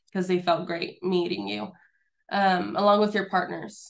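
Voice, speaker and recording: A woman speaks in a normal speaking voice. Her pitch is medium and her pace is moderate. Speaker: small business advisor presenting. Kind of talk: webinar presentation.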